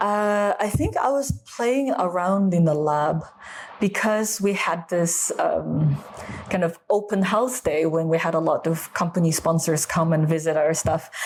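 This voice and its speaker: Over noticeable background noise, a woman with an American accent speaks at a fairly slow pace and fairly low pitch. Her loudness stays very even, with ordinary pitch variation. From USA. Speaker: food scientist, wine expert. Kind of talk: interview answer. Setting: low-quality recording.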